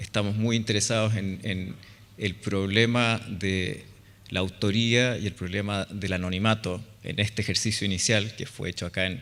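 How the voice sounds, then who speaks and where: A man's fairly low, monotone, flat delivery in a Chilean accent at a fairly slow pace, with audible room echo. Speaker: architect. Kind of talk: conference talk. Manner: hesitant, many fillers.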